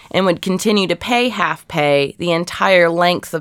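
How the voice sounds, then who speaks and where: In a plain, everyday voice, a woman with an American accent speaks at a fairly low pitch with ordinary pitch variation on a very clean recording with a silent background. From Ohio, US Midwest. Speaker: archive researcher. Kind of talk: interview.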